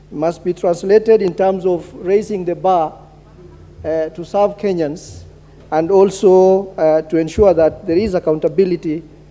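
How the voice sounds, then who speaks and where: Fairly even intonation comes through against noticeable background noise. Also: man. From northern Kenya, Mandera County. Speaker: member of parliament. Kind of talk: parliamentary speech. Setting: national assembly chamber. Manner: halting, many fillers and repetitions.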